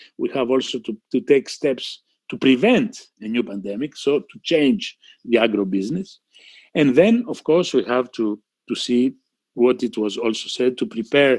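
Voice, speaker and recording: A man with a Greek accent speaks at a medium pitch with ordinary pitch variation, in a dry, close sound with no echo. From Greece. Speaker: physician, panel speaker. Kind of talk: panel talk. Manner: halting, many fillers and repeats.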